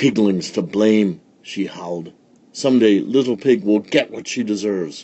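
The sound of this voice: It is an unforced reading voice. The pitch varies in an ordinary way.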